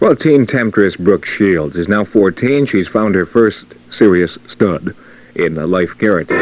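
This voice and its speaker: With a plain, everyday voice, a man talks at a fairly slow pace, his fairly low pitch carried by lively intonation. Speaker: radio morning show host. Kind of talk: radio aircheck, morning show intro and weather.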